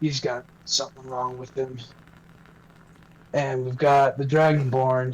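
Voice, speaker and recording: In a put-on character voice of medium pitch, a man speaks at a fairly slow pace with long, frequent pauses. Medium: actual play. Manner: halting, stammering.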